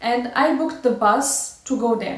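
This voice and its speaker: Against noticeable background noise and audible room echo, a high-pitched woman speaks at a moderate pace with ordinary pitch variation. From Morocco, Casablanca. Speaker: vlogger. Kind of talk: personal story. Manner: halting.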